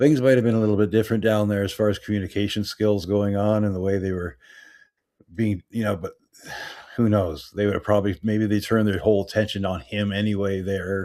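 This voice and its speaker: The speech comes at a fairly quick pace in a Canadian accent, with fairly even intonation. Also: man, fairly low pitch for a man. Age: 60s. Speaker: livestream show host. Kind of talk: casual livestream discussion. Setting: livestream. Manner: halting.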